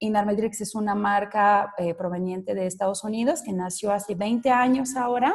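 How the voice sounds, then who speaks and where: With a French accent, a woman talks at a moderate pace in a medium-pitched, somewhat breathy voice, with ordinary pitch variation and hardly any pauses. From France. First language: French (speaking Spanish). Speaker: sales director presenting a webinar. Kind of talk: business webinar presentation. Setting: online webinar. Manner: hesitant, frequent fillers.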